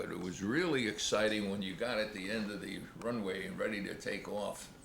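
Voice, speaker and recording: A man with an American accent, ordinary pitch variation and a moderate pace, over noticeable background noise. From United States. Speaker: WWII veteran, former Air Force radio operator. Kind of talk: interview answer. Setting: home video, camcorder.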